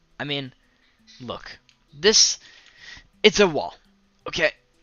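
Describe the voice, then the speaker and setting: Showing vocal fry and very wide pitch swings, a man speaks at a moderate pace. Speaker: gaming streamer. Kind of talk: let's play commentary. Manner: slurred words; casual, hesitant with fillers.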